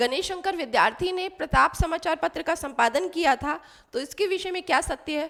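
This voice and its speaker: The voice is raised and projected, bright and sharp in tone, at a moderate pace with ordinary pitch variation. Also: woman. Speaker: Hindi literature teacher. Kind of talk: exam quiz tutorial.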